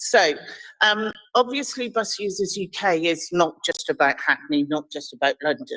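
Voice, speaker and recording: Lively intonation marks a woman's normal speaking voice, delivered at a moderate pace. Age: 60s. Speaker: charity chief executive. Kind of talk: committee presentation.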